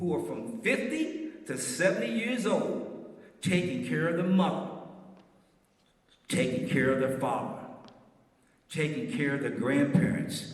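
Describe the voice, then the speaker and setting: Over noticeable background noise and audible room echo, a man speaks at a fairly slow pace in a high pitch, with very wide pitch swings and long, frequent pauses. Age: 70s. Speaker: ministry speaker. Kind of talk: sermon-style health talk. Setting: stage with live audience. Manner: animated, rhetorical.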